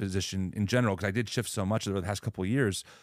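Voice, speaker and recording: This is a man's voice on a very clean recording with a silent background. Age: 30s. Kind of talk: debate-style interview conversation.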